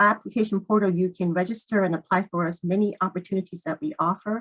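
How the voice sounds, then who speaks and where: Her voice sits at a medium pitch, its variation ordinary. The sound is dry and close with no echo at all. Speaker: psychiatry fellowship program presenter. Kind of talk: webinar presentation. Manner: fast.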